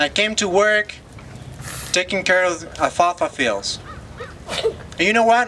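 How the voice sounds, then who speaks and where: Speaking at a moderate pace in a Spanish accent, the voice comes over noticeable background noise. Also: man. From Loja, Ecuador. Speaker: former farm worker. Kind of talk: testimony.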